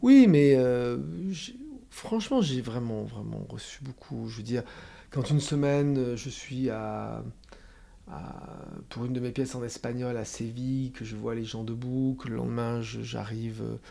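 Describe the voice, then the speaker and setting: Speaking at a fairly slow pace, a man pauses long and often. Room echo can be heard. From France. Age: 60s. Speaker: playwright and theatre director. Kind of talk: interview. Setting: theatre dressing room. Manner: halting, many fillers.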